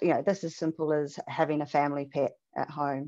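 Against a quiet background, a woman with a New Zealand accent talks at a fairly quick pace. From New Zealand, Auckland. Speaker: animal shelter manager; presenter. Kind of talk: webinar presentation. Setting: video call. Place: home room. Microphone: headset.

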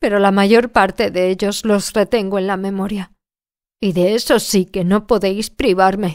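Over a silent background in a very clean recording, a woman of medium pitch speaks fairly slowly with a Spanish accent. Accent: Spain Spanish. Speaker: audiobook narrator. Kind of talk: audiobook reading.

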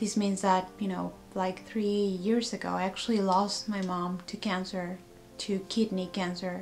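A woman speaks at a fairly slow pace in a monotone, flat delivery. Light background noise runs underneath. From Mexico. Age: 30s. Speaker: cancer patient. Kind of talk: personal vlog talk to camera. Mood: sad, subdued. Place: home room. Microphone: webcam.

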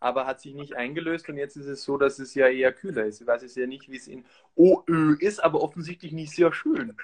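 A man with an unremarkable speaking voice talks at a fairly high pitch, with ordinary pitch variation and big swings in loudness. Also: fairly quick pace. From Austria. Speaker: actor. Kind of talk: casual chat with craft demonstration.

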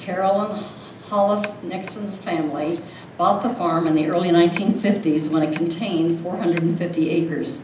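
A woman's fairly low, slightly mellow voice at a moderate pace, with fairly even intonation and few pauses, amid audible room echo

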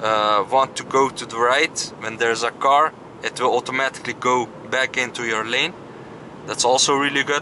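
Over noticeable background noise, a man talks at a moderate pace with fairly even intonation. The sound is dry with no echo. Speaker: car reviewer driving. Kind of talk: commentary. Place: car. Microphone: phone near.

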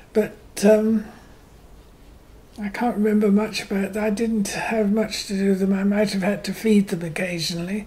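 Speaking in a Herefordshire accent at a moderate pace, the voice is monotone with flat intonation and leaves long, frequent pauses. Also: woman, medium pitch for a woman. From Herefordshire, England. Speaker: retired farmer's daughter and horse rider. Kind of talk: oral history interview answer.

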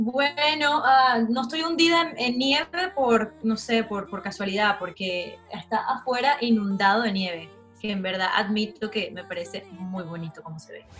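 With a Venezuelan accent, the speaker talks at a fairly slow pace, using lively intonation and big swings in loudness, while faint music plays in the background. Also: woman, fairly high pitch for a woman. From Margarita Island, Venezuela. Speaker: singer. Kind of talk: interview answer. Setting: home video call. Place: home room. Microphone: video call.

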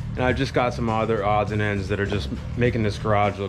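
Clear music runs in the background as a man talks at a very fast pace. His pitch is fairly low, with ordinary variation. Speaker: car hobby vlogger. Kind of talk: casual vlog chat. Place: garage. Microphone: phone near.

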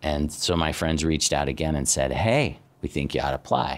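With an American accent, a man speaks at a moderate pace. His very deep, low voice has vocal fry. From Arizona, US Southwest. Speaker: university dean; guest. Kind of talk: personal talk to students; talk to a class, personal story. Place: classroom.

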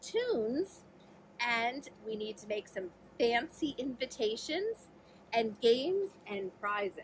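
The passage is read aloud plainly. Nothing more is done with it.

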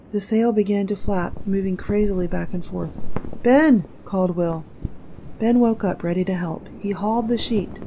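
Over noticeable background noise, a woman with a medium pitch speaks in a calm, gentle tone at a moderate pace with ordinary pitch variation. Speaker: audiobook narrator. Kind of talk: story read-aloud. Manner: calm, gentle storytelling pace.

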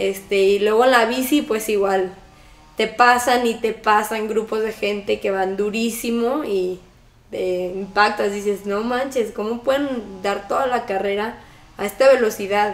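A woman with a Mexican accent, a fairly high pitch, fairly even intonation and a fairly slow pace, with audible room echo. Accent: Mexican Spanish (Jalisco). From Mexico, Guadalajara; Jalisco, Mexico. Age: 20s. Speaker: triathlete; interviewee. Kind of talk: interview. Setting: at her home. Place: home room.

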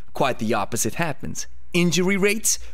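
At a moderate pace, a man is talking. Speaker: fitness coach. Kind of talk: educational commentary. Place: studio. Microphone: studio mic.

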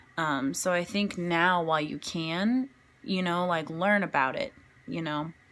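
A woman at a fairly slow pace, fairly low in pitch with ordinary pitch variation, on a very clean recording with a silent background. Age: 20s. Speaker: community college student. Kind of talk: class speech. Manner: casual, hesitant with many fillers.

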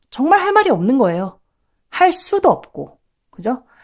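A woman talks at a fairly quick pace. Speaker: English tutor for elementary school children. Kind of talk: online educational talk.

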